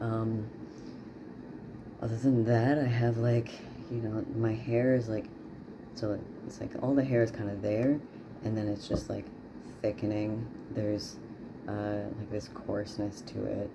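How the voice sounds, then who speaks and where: A man speaks fairly slowly in a monotone, flat voice with long, frequent pauses, with audible room echo and noticeable background noise. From Newfoundland, Canada. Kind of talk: casual video diary. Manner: hesitant, many fillers.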